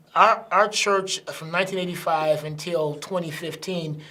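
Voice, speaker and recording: A man talks at a fairly quick pace in an unremarkable speaking voice with fairly even intonation. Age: 60s. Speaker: pastor. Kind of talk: interview.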